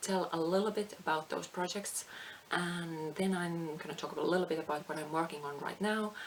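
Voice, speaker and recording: A woman speaks at a fairly low pitch. Noticeable background noise is present. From Finland. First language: Finnish. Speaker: craft vlogger. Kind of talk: casual chat. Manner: halting.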